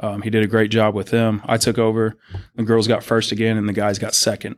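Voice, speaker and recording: At a moderate pace, the speech carries a monotone, flat intonation. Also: man, very clean recording, silent background. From Texas, Seguin. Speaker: high school football coach. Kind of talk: casual chat. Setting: studio in a coach's office.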